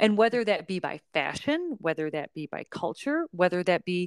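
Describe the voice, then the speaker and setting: A woman with a normal speaking voice and medium pitch talks at a fairly slow pace, the sound dry and close with no echo. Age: 40s. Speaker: podcast host and yoga instructor. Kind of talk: casual chat.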